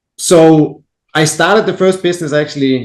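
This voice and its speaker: This speaker is a man. He has a Danish accent. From Denmark. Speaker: entrepreneur. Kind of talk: podcast interview.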